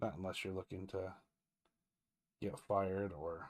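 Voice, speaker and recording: A man mumbles at a fairly slow pace and fairly low pitch against a quiet background. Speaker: comic book artist and colorist; comic artist. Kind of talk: live-stream tutorial while drawing. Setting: live stream. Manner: quiet, mumbling. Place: home room.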